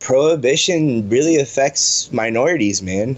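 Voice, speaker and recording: Speaking with an American accent, a man keeps a fairly slow pace and lively intonation. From South Florida (Broward County). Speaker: cannabis educator and advocate. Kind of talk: interview. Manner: halting, many fillers and repeats.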